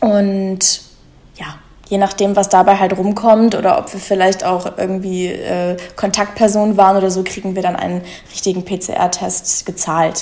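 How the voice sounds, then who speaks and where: Over noticeable background noise, a woman speaks at a moderate pace and medium pitch in a flat monotone, her loudness swinging widely. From Germany, Munich. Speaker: musical theatre performer. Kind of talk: casual interview chat.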